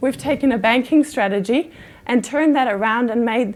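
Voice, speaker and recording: A woman with a German accent speaks in a high pitch. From Germany. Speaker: conference speaker, sales enablement leader. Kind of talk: conference talk.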